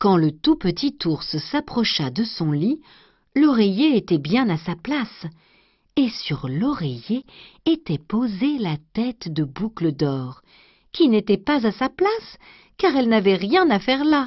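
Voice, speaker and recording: Somewhat breathy and fairly high-pitched, a woman speaks in a gentle, soothing tone at a very slow pace, with very wide pitch swings and long, frequent pauses. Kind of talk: bedtime story reading aloud of a fairy tale, scripted narration. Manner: gentle, slow, soothing storyteller pace.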